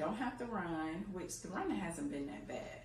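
A woman is speaking amid light background noise. Her voice carries an audible room echo. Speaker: fitness vlogger. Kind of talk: casual vlog chat. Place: garage. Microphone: camera far.

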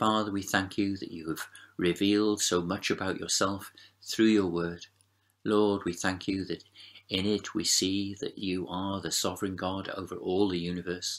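A man speaks in a very deep, low pitch. His intonation stays monotone and flat at a moderate pace. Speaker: preacher leading prayer. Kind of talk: prayer. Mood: calm, reverent. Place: home room. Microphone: webcam.

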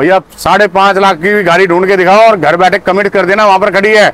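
The tone is fairly bright and the pace is fast. Intonation stays fairly even. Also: man, high pitch for a man.

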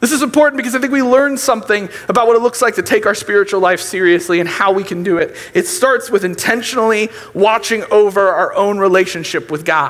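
A man speaks at a high pitch with ordinary pitch variation. His pace is very fast. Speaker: youth pastor. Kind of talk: sermon. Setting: church. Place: church. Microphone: headset.

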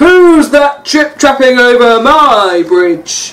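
A put-on character voice, high-pitched and growling, delivered at a very slow pace. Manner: snarling, slobbering.

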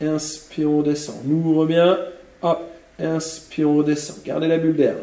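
Audible room echo fills the recording. A man's voice comes through it. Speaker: fitness instructor. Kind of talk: exercise class instruction. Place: gym.

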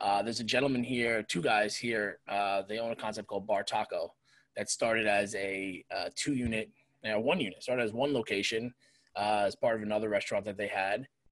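Against a quiet background with a dry sound and no echo, a man with an American accent talks at a fairly quick pace with fairly even intonation. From New York area. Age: 40s. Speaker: restaurant owner and chef; podcast guest. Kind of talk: casual chat. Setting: video call. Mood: candid, reflective. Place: home room. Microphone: video call.

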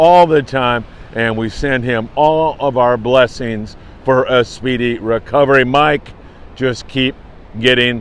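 At a fairly slow pace, a man speaks with fairly even intonation in a dry sound with no echo. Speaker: fishing report host. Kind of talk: casual morning news briefing to camera. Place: beach. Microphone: phone near.

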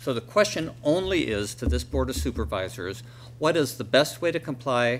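A man's voice with vocal fry and lively intonation at a moderate pace, over light background noise. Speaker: county supervisor. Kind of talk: public meeting remarks. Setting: public board meeting. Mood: firm, defensive. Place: hall. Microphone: podium.

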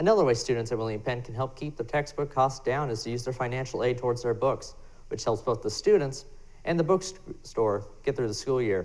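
Speaking at a fairly quick pace, the man keeps his pitch variation ordinary. Nothing else stands out in the delivery. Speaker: student news reporter. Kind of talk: news report. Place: studio.

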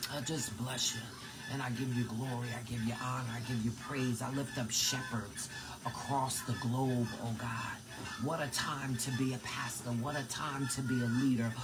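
Noticeable background noise sits under a man's voice. He talks at a moderate pace with a monotone, flat intonation. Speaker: prayer leader. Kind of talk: fervent prayer. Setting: live online video stream. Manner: warm, affectionate. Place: kitchen. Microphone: phone near.

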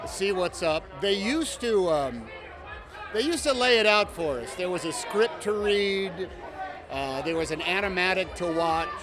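Over noticeable background noise in a dry sound with no echo, a man with a high pitch speaks at a moderate pace with lively intonation. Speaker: actor at premiere. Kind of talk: interview answer. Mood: warm, reflective. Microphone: handheld.

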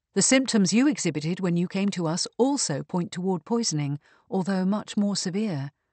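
Reading done in an unforced voice

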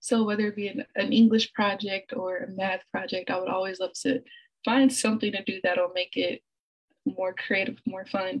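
A woman's somewhat breathy voice carries ordinary pitch variation against a quiet background. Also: moderate pace. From Little Rock, Arkansas; Arkansas. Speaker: artist; presenter. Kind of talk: presentation. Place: home room. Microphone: video call.

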